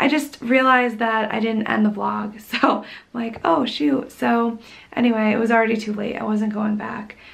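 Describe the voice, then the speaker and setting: A woman speaks quietly at a moderate pace. There is audible room echo and noticeable background noise. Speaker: vlogger. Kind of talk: casual vlog talk.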